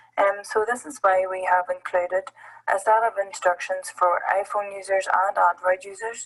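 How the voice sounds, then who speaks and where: Noticeable background noise sits behind a woman with a medium pitch. She talks at a moderate pace with fairly even intonation. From Northern Ireland. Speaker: app presenter at education summit. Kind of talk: tutorial. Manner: hesitant, many fillers.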